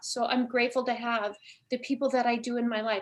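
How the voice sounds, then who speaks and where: Her voice sits fairly high for a woman, delivered in a monotone, flat intonation. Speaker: spiritual healer guest. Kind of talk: casual interview chat. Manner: fast.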